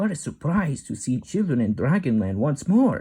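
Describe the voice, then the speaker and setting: Using a put-on character voice, a man speaks at a fairly high pitch and a moderate pace with very wide pitch swings. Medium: read story. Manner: warm, gentle.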